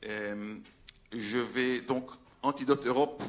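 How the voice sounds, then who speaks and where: A man's voice with fairly even intonation. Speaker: veterinarian, conference speaker. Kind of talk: conference talk. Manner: halting, many hesitations.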